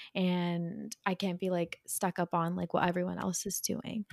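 On a very clean recording with a silent background and a dry, close sound with no echo, a woman speaks at a moderate pace. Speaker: podcast co-host. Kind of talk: casual chat.

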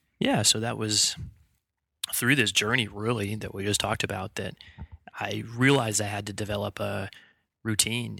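A man with an American accent speaks at a moderate pace in a fairly low voice with vocal fry, his flat, monotone delivery bright and sharp in tone and broken by long, frequent pauses, on a very clean recording with a silent background. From US Pacific Northwest (Bellingham, Washington). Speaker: chiropractor. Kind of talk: casual interview. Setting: studio.

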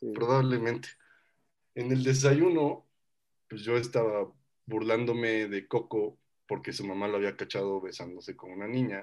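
At a moderate pace and medium pitch, a man talks with ordinary pitch variation, long, frequent pauses and big swings in loudness, on a very clean recording with a silent background. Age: 20s. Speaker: podcast co-host. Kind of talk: casual chat.

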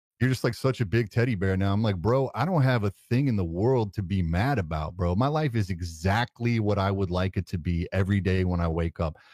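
A man talks fairly quickly, with hardly any pauses and very even loudness, in an unremarkable speaking voice. His pitch is fairly low with ordinary variation, on a very clean recording with a silent background. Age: 40s. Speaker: tech content creator. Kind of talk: casual chat. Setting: live stream.

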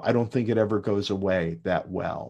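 At a fairly slow pace, a man with an American accent speaks at a fairly low pitch with ordinary pitch variation against a quiet background. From New York City. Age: 60s. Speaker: actor and university teacher. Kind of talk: casual interview. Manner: hesitant, many fillers.

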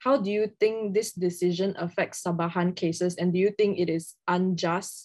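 A woman talks in an ordinary speaking voice. Her pitch is medium and her intonation fairly even. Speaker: law student podcast co-host. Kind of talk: interview.

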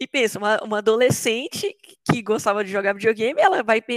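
An unremarkable speaking voice at a fairly quick pace, with a dry, close sound and no echo. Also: woman. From Brazil, Belo Horizonte metro area. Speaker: software developer. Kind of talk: interview.

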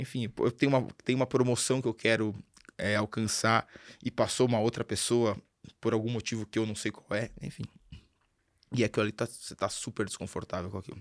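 In a dry, close sound with no echo, a man at a medium pitch speaks in a monotone, flat intonation with long, frequent pauses. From Brazil, Sorocaba (interior of São Paulo state). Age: 40s. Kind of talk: casual interview.

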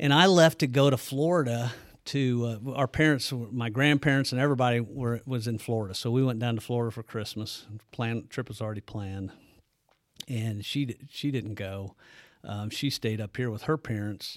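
On a very clean recording with a silent background, a man with an ordinary speaking voice talks at a moderate pace, medium pitch and ordinary pitch variation. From US Midwest, southern Illinois (Bethalto). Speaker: businessman and cattle farmer. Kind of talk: casual interview. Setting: studio.

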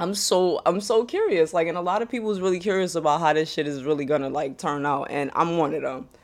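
A woman talks at a fairly quick pace in an animated tone. Her pitch is fairly low with ordinary variation. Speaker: wrestling podcaster. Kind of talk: casual solo commentary.

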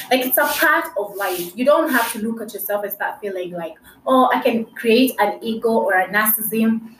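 The woman's pitch is fairly high, with ordinary variation. She keeps a moderate pace amid noticeable background noise. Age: 20s. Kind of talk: faith-sharing monologue.

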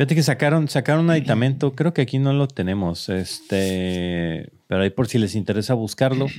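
A man's plain, everyday voice at a fairly quick pace, with hardly any pauses, lively intonation and very even loudness. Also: medium pitch for a man. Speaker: tech podcast host. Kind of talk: casual chat.

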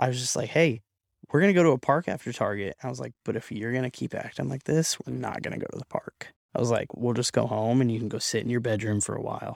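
Recorded with a dry, close sound and no echo, a man with an American accent talks at a very fast pace. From US Pacific Northwest (Oregon). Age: 20s. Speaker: barber and young father. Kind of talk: casual interview chat. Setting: studio.

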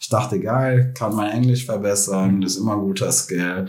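Amid audible room echo, a man at a fairly low pitch speaks at a moderate pace with fairly even intonation. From Germany, Krefeld (North Rhine-Westphalia). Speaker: tech marketing specialist. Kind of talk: interview. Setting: in person.

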